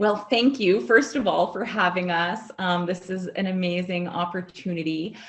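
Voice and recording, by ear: A woman speaks at a moderate pace. Her pitch is fairly low and her intonation fairly even.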